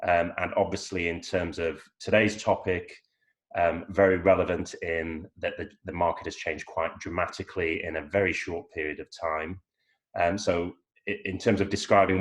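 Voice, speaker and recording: Against a quiet background, this speaker talks at a moderate pace with an English accent and a monotone, flat intonation. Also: man. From northern England, York. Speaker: lawyer. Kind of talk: panel discussion. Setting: video call.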